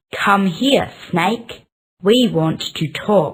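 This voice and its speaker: A woman puts on a raspy character voice at a medium pitch. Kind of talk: children's story.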